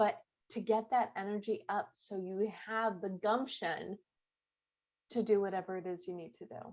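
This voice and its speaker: An ordinary speaking voice from a woman with an American accent, medium in pitch, at a moderate pace, with fairly even intonation but big swings in loudness. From US Midwest, Chicago suburbs. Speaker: author and goal-setting coach. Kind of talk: online class.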